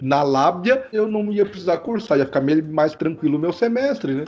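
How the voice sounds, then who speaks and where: A man talks in a plain, everyday voice, fairly high in pitch, with lively intonation. His pace is moderate and the background is quiet. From Santa Catarina west, Brazil. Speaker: agronomist, consultant and professor. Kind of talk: casual podcast interview.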